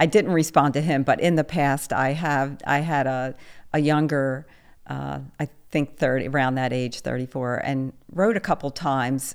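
A woman speaks at a fairly slow pace with a very deep, low pitch and fairly even intonation, on a very clean recording with a silent background. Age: 60s. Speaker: online dater sharing dating experiences. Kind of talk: interview. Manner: halting.

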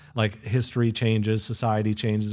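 In a very clean recording with a silent background, a man with a fairly low pitch speaks at a moderate pace. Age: 40s. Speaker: rural sociologist. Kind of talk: interview. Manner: halting.

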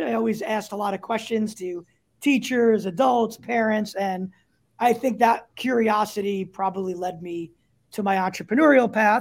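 A speaker with a New York accent talks at a moderate pace with ordinary pitch variation. The recording is very clean, with a silent background. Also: man. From New York, Staten Island. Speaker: startup CEO. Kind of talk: interview.

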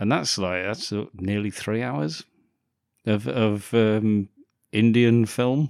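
Very slow delivery with long, frequent pauses, an English accent and ordinary pitch variation, on a very clean recording with a silent background. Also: man, fairly low pitch for a man. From England. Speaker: podcast co-host. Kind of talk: casual chat.

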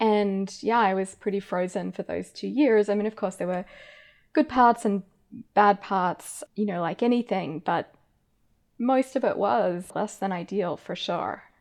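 A woman's medium-pitched voice with ordinary pitch variation, at a fairly slow pace over a quiet background. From Australia. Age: 30s. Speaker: philosophy professor and author. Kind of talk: interview conversation.

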